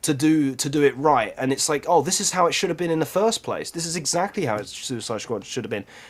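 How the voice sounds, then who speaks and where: With hardly any pauses, a man races along at a very fast pace in a fairly high voice, his intonation lively against noticeable background noise. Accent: British. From Britain. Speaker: podcast co-host. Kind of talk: casual chat. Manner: animated.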